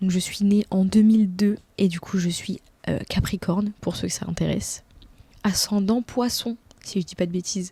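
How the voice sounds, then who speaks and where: The woman's tone is dark and mellow, somewhat breathy. She keeps her intonation fairly even. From France. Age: 20s. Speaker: YouTuber. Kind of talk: casual vlog Q&A. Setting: at home in bed. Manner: casual, hesitant with many fillers.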